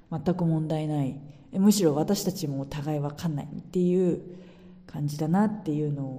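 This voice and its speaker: A woman with a very deep, low pitch and a dark, mellow, somewhat breathy tone speaks at a moderate pace. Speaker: podcaster. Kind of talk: casual monologue.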